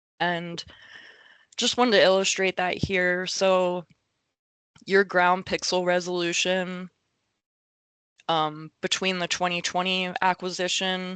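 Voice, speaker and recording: Delivered at a very slow pace with long, frequent pauses, the speech is monotone and flat, with a dry, close sound, no echo, and a quiet background. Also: woman, medium pitch for a woman. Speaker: government mapping liaison. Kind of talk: technical presentation. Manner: hesitant with fillers.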